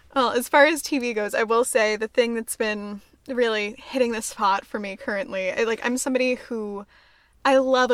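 With a normal speaking voice, a woman talks at a fairly quick pace in a fairly high pitch and fairly even intonation, recorded very cleanly against a silent background. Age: 20s. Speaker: podcast co-host. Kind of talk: casual chat.

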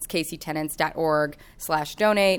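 This is a normal speaking voice, with ordinary pitch variation. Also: woman. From Kansas City, US Midwest. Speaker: tenant organizer and housing researcher. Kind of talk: rally speech, pleading and rousing audience to act. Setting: live event with audience.

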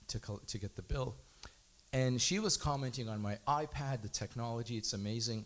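A man talks with an unremarkable speaking voice. It sits at a medium pitch with ordinary pitch variation. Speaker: congregant. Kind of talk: testimony.

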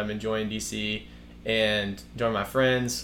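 A man with an American accent speaks in monotone, flat intonation amid audible room echo. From US South, Birmingham, Alabama. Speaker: guest sharing faith story. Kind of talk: casual faith conversation. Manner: halting.

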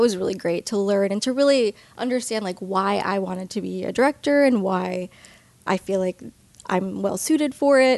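A woman with an American accent talks in an ordinary speaking voice at medium pitch, with ordinary pitch variation. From Long Island, New York. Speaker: filmmaker and film educator. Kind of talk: interview.

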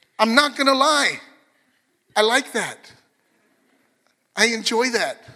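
A man speaks at an extremely high pitch in a raised, projected voice, his tone animated, bright and sharp. He takes a fairly slow pace. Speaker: pastor. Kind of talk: sermon.

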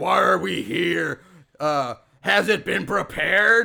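Raspy, high-pitched put-on character voice from a man, at a very slow pace. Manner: spooky, ominous.

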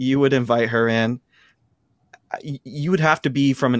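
A man with an American accent speaks at a moderate pace. The sound is dry and close with no echo, and the recording is very clean with a silent background. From US Midwest, Ohio. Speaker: New Testament professor. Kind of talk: casual interview.

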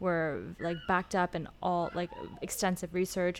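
Recorded very cleanly against a silent background, a woman with a West Coast US accent talks at a moderate pace in a fairly low pitch. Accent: General American, West Coast. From Los Angeles. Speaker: former student debater. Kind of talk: casual interview.

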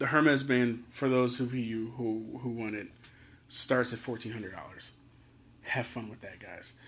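A man with an American accent speaks at a fairly slow pace and medium pitch. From Philadelphia, US. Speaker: podcast host. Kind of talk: casual solo commentary. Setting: hotel room. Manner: animated.

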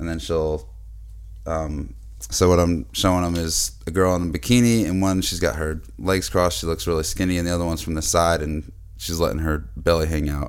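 Lively intonation at a fairly quick pace, with audible room echo. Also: man, very deep, low pitch for a man. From Boston, US. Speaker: podcast host. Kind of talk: casual chat.

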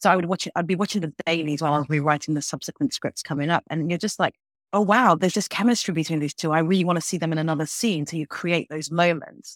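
A woman in a London accent, fairly low in pitch with ordinary pitch variation, at a very fast pace with hardly any pauses, in a dry, close sound with no echo. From London, England. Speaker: TV writer and showrunner. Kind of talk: interview.

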